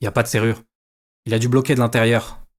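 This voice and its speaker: A man uses a raspy, put-on character voice at a medium pitch. He speaks at a very fast pace with monotone, flat intonation. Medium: read story. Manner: blunt, casual.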